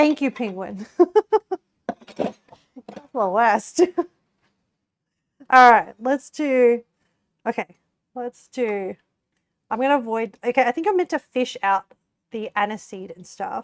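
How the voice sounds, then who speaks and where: A woman's high pitch at a very slow pace, with lively intonation, big swings in loudness, long, frequent pauses, and a dry, close sound with no echo. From Australia. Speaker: cooking streamer. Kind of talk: casual livestream chat while cooking. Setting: live stream with chat. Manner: animated.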